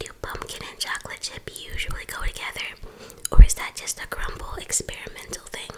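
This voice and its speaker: A woman whispering at a fairly quick pace, with big swings in loudness and noticeable background noise. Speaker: mukbang ASMR host. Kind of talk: ASMR eating show talk to camera. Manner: whispered.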